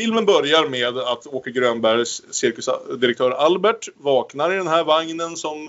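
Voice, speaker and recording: With ordinary pitch variation, a man talks in an unremarkable speaking voice. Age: 30s. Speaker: podcast host. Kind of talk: casual chat.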